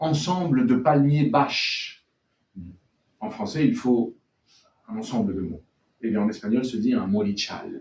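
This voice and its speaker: Very wide pitch swings from a man at a fairly high pitch, talking at a fairly slow pace with long, frequent pauses. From born in France to Chilean and Venezuelan parents, raised abroad in French schools. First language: Spanish (speaking French). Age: young. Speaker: novelist. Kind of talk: bookshop author talk. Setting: bookshop event with audience.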